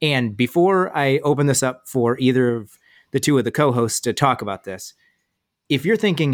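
The recording is very clean, with a silent background and a dry, close sound with no echo. A man with an unremarkable speaking voice talks at a moderate pace in a medium pitch with ordinary pitch variation. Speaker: podcast host, Marine. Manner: joking, casual.

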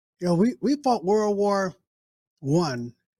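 A man's high-pitched voice with a dark, mellow tone and very wide pitch swings, in a dry, close sound with no echo. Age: 70s. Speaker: political commentator co-host. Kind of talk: casual chat.

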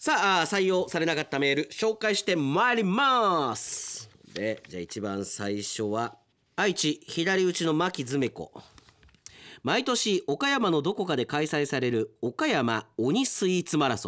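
A man's high-pitched, bright, sharp, animated voice with very wide pitch swings at a fairly slow pace. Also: very clean recording, silent background. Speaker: radio announcer. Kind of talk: casual radio talk, reading listener mail.

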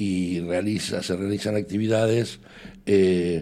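Using a dark, mellow tone and a fairly low pitch, a man talks at a fairly slow pace with fairly even intonation. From Argentina. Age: 60s. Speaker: association secretary. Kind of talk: radio interview.

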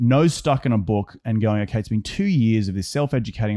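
Against a quiet background, a man with an Australian accent speaks at a fairly quick pace in a dark, mellow tone with ordinary pitch variation. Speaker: real estate investor. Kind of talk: casual interview chat.

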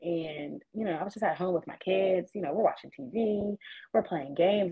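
Here a woman talks. Her pitch moves in an ordinary way. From Pittsburgh and West Virginia, US. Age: 30s. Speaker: realtor. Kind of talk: interview conversation.

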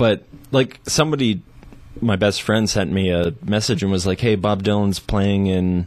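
A man talks in a normal speaking voice at a fairly low pitch and a moderate pace. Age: 30s. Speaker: musician and writer. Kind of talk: casual chat. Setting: studio.

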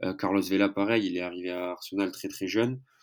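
A man talks at a moderate pace in a fairly low voice. His intonation stays fairly even. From southern France, Narbonne. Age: 20s. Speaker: football social media account runner. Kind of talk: casual chat.

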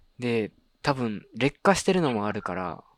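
Recorded very cleanly against a silent background, this man's medium-pitched voice has lively intonation and a dry, close sound with no echo. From Japan, Kagawa. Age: 20s. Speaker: podcast host. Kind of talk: casual chat.

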